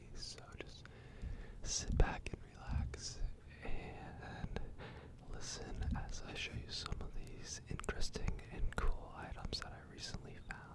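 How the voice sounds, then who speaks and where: There is noticeable background noise as someone whispers very slowly, pausing long and often. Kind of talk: ASMR thrift haul presentation. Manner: quiet, whispering, relaxing.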